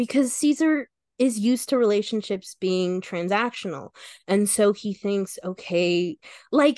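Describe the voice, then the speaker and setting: A woman speaks at a fairly slow pace in an ordinary speaking voice, medium in pitch with lively intonation, the sound dry and close with no echo against a quiet background. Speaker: actor and editor on actual-play podcast. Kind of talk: casual chat.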